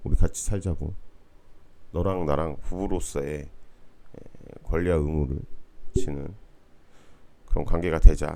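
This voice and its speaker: A man with a dark, mellow tone and lively intonation, in audible room echo. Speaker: university lecturer. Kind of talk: online lecture. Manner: casual, conversational.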